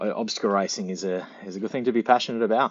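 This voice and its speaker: Fairly quick delivery in an Australian accent. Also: man. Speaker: fitness channel host and obstacle racer. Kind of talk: casual chat. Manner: halting, repeats words.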